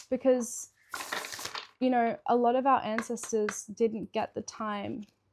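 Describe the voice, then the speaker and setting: The woman's pitch is fairly high and her intonation monotone and flat. She talks at a fairly slow pace, with a dry, close sound and no echo. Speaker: tarot reader. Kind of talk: psychic tarot reading. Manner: meandering, hesitant with fillers; halting, stumbles over words.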